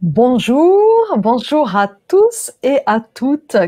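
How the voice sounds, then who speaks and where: A woman speaks in a dark, mellow tone. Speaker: interviewer. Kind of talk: interview host, conversational.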